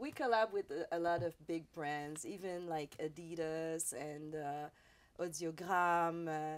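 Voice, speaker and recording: Speaking at a fairly slow pace with a Quebec accent, a woman has a fairly low pitch and fairly even intonation, captured in a very clean recording with a silent background. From Quebec, Montreal South Shore. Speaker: radio host. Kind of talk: interview. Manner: halting.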